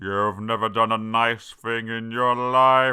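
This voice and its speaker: A man's put-on character voice at a medium pitch, monotone with flat intonation. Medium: read story.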